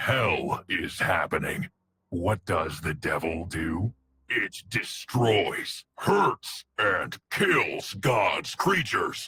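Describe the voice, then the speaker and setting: A man's put-on character voice, raspy and medium-pitched, at a very slow pace. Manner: menacing.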